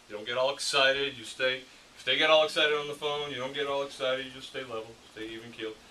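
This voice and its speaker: There is noticeable background noise as a man talks at a very fast pace. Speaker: insurance sales trainer. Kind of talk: training session. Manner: mumbles sometimes; animated role-play.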